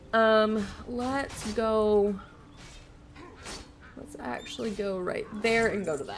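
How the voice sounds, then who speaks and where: Speaking very slowly with long, frequent pauses, a woman with fairly high pitch shows big swings in loudness, and the room echo is audible. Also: ordinary pitch variation. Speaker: video game streamer. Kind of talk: live gameplay stream chat. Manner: animated.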